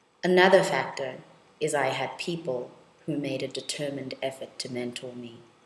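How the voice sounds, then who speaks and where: Her pitch very deep and low, a woman speaks at a moderate pace with ordinary pitch variation and big swings in loudness. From South Africa, Soweto. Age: 30s. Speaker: law lecturer and researcher. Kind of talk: personal testimony.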